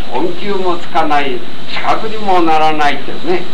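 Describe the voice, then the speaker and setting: A high-pitched man speaks with ordinary pitch variation. Background noise is noticeable. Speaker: Zen teacher. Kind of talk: talk recounting personal experience. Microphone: old recording.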